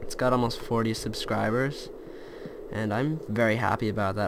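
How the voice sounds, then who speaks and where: A man speaks at a moderate pace and a medium pitch with fairly even intonation. Noticeable background noise runs underneath. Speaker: gaming YouTuber. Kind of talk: gameplay commentary. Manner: mumbling at times; casual. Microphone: laptop mic, quiet audio.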